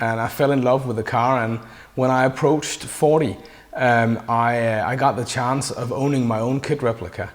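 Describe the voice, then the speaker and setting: A man with a Danish accent speaks with fairly even intonation. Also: medium pitch for a man, moderate pace. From Denmark. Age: 40s. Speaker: interviewer, fan. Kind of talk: interview. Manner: halting, many fillers.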